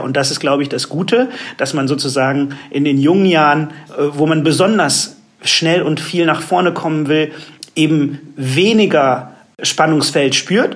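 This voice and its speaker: Against noticeable background noise, a man speaks at a moderate pace in a fairly high voice with ordinary pitch variation. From Germany. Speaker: advertising agency executive. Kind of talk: interview.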